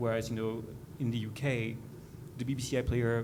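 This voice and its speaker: Speaking very fast in a medium pitch, a man is heard with audible room echo and noticeable background noise. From Europe. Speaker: conference panelist. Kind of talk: panel discussion. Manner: halting, many fillers and restarts.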